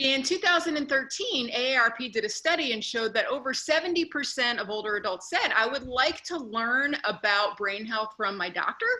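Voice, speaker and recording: A woman's high-pitched voice in a Northeastern US accent, fairly quick and lively in intonation, over noticeable background noise. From US Northeast. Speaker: neuropsychologist. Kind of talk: conference talk.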